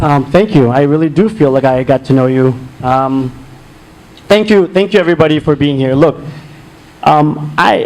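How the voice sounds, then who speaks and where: With noticeable background noise behind him, a man of fairly high pitch speaks at a moderate pace with very even loudness, ordinary pitch variation, and long, frequent pauses. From India. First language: non-English (Indian language). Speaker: political candidate. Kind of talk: closing statement at candidate forum.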